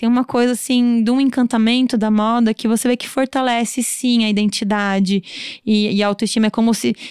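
At a moderate pace and with hardly any pauses, a woman speaks in a monotone, flat intonation. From Brazil, São Paulo state countryside. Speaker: fashion designer and brand owner. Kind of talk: casual interview.

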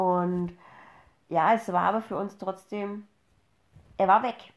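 A very slow pace against a quiet background. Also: woman. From Upper Franconia, Bavaria. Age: 30s. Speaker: podcast host, mother. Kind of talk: casual chat.

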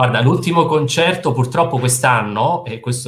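A man talks at a fairly quick rate. The pitch moves up and down in an ordinary way. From central Italy, province of Frosinone (Lazio). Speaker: fundraising and marketing manager at a charity. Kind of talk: video call interview. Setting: video call from home. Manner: calm.

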